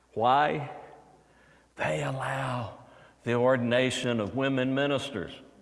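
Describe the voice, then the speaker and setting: A man with an American accent speaks at a fairly slow pace in a medium pitch, with ordinary pitch variation, long and frequent pauses, and audible room echo. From Texas, Houston. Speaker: preacher. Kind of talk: sermon.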